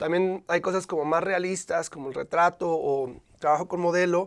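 Against a quiet background, a man with a high pitch speaks fairly slowly with fairly even intonation. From Monterrey, northern Mexico; Mexico. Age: young. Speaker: visual artist; guest. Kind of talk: interview. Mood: calm, explanatory. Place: studio. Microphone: lapel.

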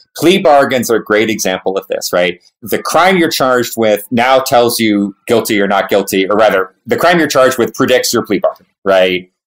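He has a plain, everyday voice at medium pitch, speaking at a moderate pace. His intonation is lively, with hardly any pauses. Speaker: professor. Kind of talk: casual chat.

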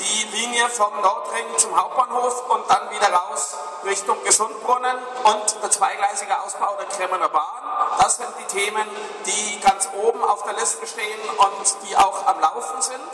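Over music in the background, a man speaks at a fairly slow pace in a raised, projected voice, with audible room echo. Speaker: company representative on panel. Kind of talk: interview answer. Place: hall.

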